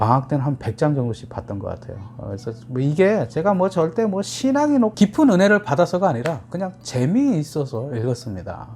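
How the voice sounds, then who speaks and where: Talking at a fairly quick pace with hardly any pauses, a man uses a fairly high pitch that swings very widely. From rural Korea, moved to Seoul as a child. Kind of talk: casual talk to camera.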